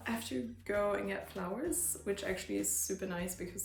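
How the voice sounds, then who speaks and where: Her pace is fairly quick. There is audible echo from the room as the woman talks. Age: 30s. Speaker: dentist and vlogger. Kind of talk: casual vlog narration.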